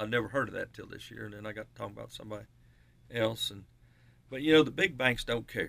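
A man with an Appalachian accent talks at a very fast pace, with vocal fry and a bright, sharp tone. His loudness swings widely, and he takes long, frequent pauses. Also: medium pitch for a man, ordinary pitch variation. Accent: Southern US, Appalachian. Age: 60s. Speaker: radio show co-host, home builder. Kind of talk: casual radio chat.

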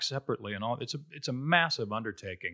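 In a very clean recording with a silent background and a dry, close sound with no echo, a man speaks with a Midwestern accent. His tone is bright and sharp, with ordinary pitch variation. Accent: General American (Midwest). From Ohio, Cincinnati. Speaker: Broadway actor. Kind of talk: casual interview.

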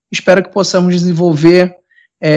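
A man speaks with a high pitch. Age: 20s. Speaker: university lecturer. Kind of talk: self-introduction video.

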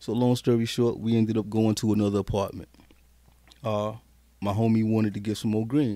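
A dark, mellow tone in an American accent carries monotone, flat intonation. The pace is fairly quick, broken by long, frequent pauses. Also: man, fairly low pitch for a man. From South Carolina. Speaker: music producer. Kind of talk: casual interview chat. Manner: laid-back, slangy.

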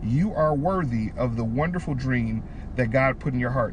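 Using a normal speaking voice, a man speaks at a moderate pace and medium pitch with lively intonation. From Detroit, Michigan. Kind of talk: casual faith-teaching chat.

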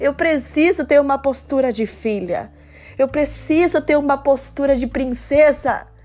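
Music plays behind a woman speaking at a fairly slow pace. Her pitch is high, with ordinary variation. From Cuba. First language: Spanish (speaking Portuguese). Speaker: devotional speaker. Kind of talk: devotional talk.

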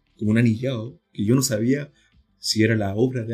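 Behind this man, music plays in the background. He speaks at medium pitch with fairly even intonation. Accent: Chilean. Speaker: podcast host. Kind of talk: casual chat.

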